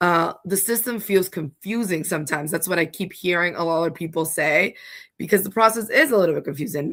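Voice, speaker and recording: An unremarkable speaking voice from a woman, fairly low-pitched with ordinary pitch variation, at a fairly quick pace on a very clean recording with a silent background. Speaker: home care agency representative explaining Medicaid. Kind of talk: livestream explainer. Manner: casual, chatty.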